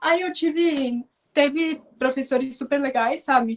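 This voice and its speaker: A woman speaks at a moderate pace with fairly even intonation, her voice dry and close with no echo. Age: 20s. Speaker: law graduate with visual impairment. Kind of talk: interview conversation. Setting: video call.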